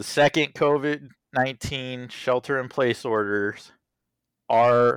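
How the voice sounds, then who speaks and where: A man talks at a very slow pace with fairly even intonation. The recording is very clean with a silent background and a dry, close sound with no echo. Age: 30s. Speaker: podcast co-host, theater technician. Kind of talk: casual chat.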